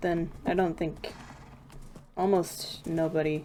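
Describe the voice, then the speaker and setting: Background noise is noticeable throughout. Through it, a woman speaks. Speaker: gaming streamer. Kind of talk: casual livestream commentary. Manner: rambling, self-correcting.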